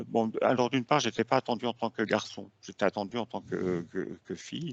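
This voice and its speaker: Over a quiet background, a man with vocal fry speaks at medium pitch with ordinary pitch variation, the sound dry and close with no echo. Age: 70s. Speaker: hypnosis client. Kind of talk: testimony. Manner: halting, many fillers.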